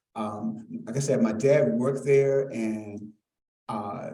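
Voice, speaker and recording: There is audible room echo around a man with an American accent and a dark, mellow tone. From Arlington, Virginia (Halls Hill). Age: 60s. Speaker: community speaker introducing a lecture. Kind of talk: public introduction speech. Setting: live event with audience. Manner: halting, many fillers; informal.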